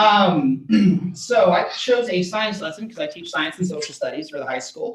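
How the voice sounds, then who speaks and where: A man with an American accent talks at a high pitch. His pitch swings very widely. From Texas. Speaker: teacher. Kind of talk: workshop participant presentation.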